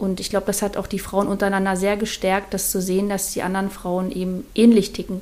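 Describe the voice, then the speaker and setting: A woman talks at a very fast pace with hardly any pauses. Her intonation is monotone and flat. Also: medium pitch for a woman. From Mecklenburg-Vorpommern, northeastern Germany. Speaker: artist. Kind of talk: casual interview. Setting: in-person studio recording.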